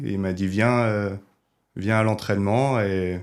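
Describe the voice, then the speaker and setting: Fairly even intonation and a fairly slow pace come through on a very clean recording with a silent background. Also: man. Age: 20s. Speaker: rugby video analyst. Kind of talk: podcast interview. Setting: studio. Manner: hesitant, many fillers.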